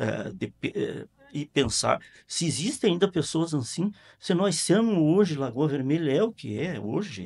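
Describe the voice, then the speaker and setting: A man talks at a moderate pace with fairly high pitch, lively intonation and vocal fry. Behind him the background is quiet. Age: 70s. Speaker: local party president. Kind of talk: interview. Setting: studio. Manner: halting, many repetitions and fillers.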